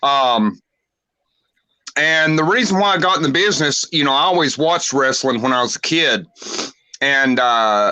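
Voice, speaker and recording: Speaking with a Southern US accent, a man uses a bright, sharp tone at a fairly high pitch, keeping a moderate pace, very even loudness and ordinary pitch variation, broken by long, frequent pauses. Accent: Southern twang. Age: 40s. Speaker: pro wrestler. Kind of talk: interview.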